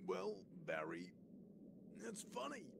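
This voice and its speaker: A man does a put-on character voice over loud background noise. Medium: fan dub. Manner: hesitant, awkward.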